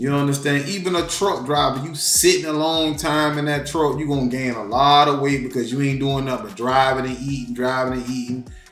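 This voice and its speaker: A man at a fairly quick pace with hardly any pauses, plus audible room echo and noticeable background noise. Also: fairly high pitch for a man. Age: 40s. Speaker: reaction video creator. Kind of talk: reaction commentary. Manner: animated.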